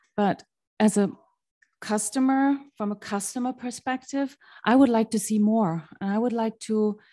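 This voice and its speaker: Speaking at a moderate pace with a non-native accent, a woman has a dark, mellow tone at medium pitch and fairly even intonation. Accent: foreign. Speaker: resident. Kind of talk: public comment.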